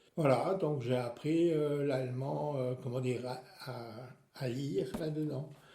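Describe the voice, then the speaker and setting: Speech comes at a very slow pace with ordinary pitch variation. Room echo is audible. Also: man, medium pitch for a man. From Alsace, France. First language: Alsatian (speaking French). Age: 70s. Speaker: retiree. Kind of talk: interview. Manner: hesitant, many fillers.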